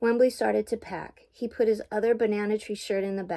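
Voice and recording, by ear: The voice reads aloud in a natural way. Its intonation stays fairly even.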